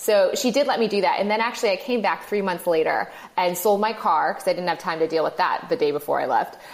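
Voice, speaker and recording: A woman with an American accent at a medium pitch, speaking at a very fast pace with hardly any pauses over noticeable background noise. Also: ordinary pitch variation, very even loudness. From Michigan. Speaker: podcaster and entrepreneur. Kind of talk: casual interview.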